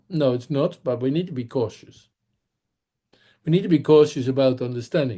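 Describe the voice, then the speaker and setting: A man in a Dutch accent, dark and mellow in tone, with lively intonation at a moderate pace. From Netherlands. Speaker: public speaking trainer. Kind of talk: webinar lecture.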